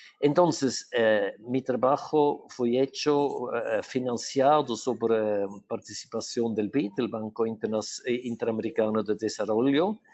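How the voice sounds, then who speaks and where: Speaking in a Portuguese accent at a fairly slow pace, a man keeps a medium pitch with ordinary pitch variation. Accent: Portuguese-tinged Spanish. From Switzerland. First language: not Spanish (Swiss, lives in Portugal) (speaking Spanish). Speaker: urban planner and electric mobility specialist. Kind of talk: webinar presentation. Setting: online webinar. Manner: halting, many fillers and restarts.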